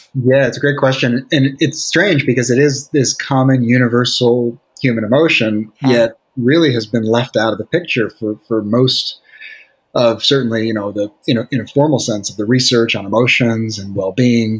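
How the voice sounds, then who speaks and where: This man uses a normal speaking voice with an American accent. He keeps a moderate pace with ordinary pitch variation. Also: medium pitch for a man. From Brooklyn, New York. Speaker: psychologist. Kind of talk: interview.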